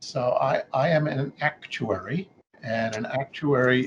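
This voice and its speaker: Here a man speaks with a New York accent. His pitch is medium and his intonation fairly even. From New York City. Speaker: actuary. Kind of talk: interview. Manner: halting, many fillers.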